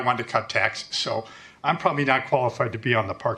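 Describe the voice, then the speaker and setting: Noticeable background noise fills the clip. Through it, a man speaks very fast. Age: 60s. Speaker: resident speaking at public comment. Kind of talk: public comment at a board meeting. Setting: public meeting room. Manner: casual, joking.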